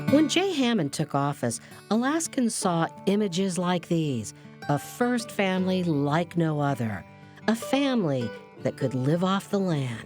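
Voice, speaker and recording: Over background music, a woman talks at a fairly slow pace with a fairly low pitch, very wide pitch swings and very even loudness. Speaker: television news reporter, narrator. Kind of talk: news documentary narration.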